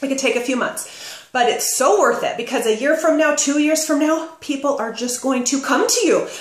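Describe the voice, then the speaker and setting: A woman talks loudly at a moderate pace with a high pitch, ordinary pitch variation and hardly any pauses. Noticeable background noise and audible room echo are present. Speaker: direct sales business coach. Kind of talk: tutorial. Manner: casual and animated.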